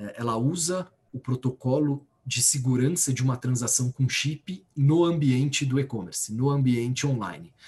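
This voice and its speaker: A man with a plain, everyday voice talks at a fairly slow pace, medium in pitch, with lively intonation. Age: 30s. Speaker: bank executive. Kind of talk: interview.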